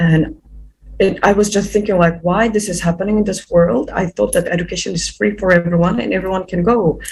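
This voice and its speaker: Against noticeable background noise, a woman talks fairly quickly at a medium pitch with ordinary pitch variation. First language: not English. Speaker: youth activist. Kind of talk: interview. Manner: halting, many repetitions and fillers.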